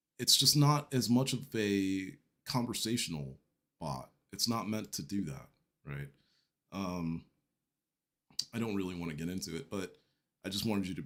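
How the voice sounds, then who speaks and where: A man with a fairly low pitch speaks at a moderate pace, taking long, frequent pauses. His intonation is lively. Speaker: tech live-stream host. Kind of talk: casual live-stream talk. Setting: live stream on camera. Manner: hesitant, many fillers.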